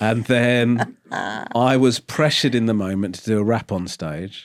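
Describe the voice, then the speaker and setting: A fairly slow, medium-pitched man's voice in an English accent, with ordinary pitch variation and big swings in loudness, on a very clean recording with a silent background. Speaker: comedian and chat show host. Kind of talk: casual interview talk.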